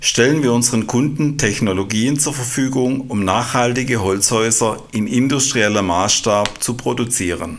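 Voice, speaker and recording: A man speaks at a fairly slow pace in a medium pitch with ordinary pitch variation, amid noticeable background noise and audible room echo. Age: 50s. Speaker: quality manager at an engineering company. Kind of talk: podcast interview. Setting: studio.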